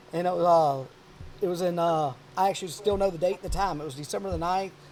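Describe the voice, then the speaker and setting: Speaking very fast in a Louisiana accent, a man has a high pitch and ordinary pitch variation. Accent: Louisiana Southern US. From South Louisiana. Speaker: podcast host, hunter. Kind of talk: casual chat. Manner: animated.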